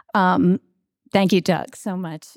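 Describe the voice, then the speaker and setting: In a very clean, dry, close recording with no echo and a silent background, a woman with a Long Island accent speaks at a medium pitch with fairly even intonation. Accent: Long Island New York. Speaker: TV news anchor and reporter. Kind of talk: acceptance speech with humorous anecdotes. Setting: stage with audience at awards event.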